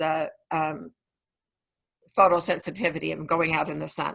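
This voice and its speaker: A woman's bright, sharp voice with vocal fry, at a moderate pace, in a very clean recording with a silent background. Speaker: essential oil educator. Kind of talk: informal tutorial. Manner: halting, many fillers.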